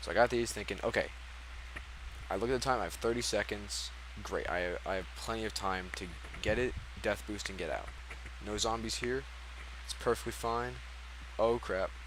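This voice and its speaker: A man speaking with long, frequent pauses over noticeable background noise. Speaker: speedrunner. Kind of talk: post-run commentary. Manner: fast; casual, hesitant with fillers.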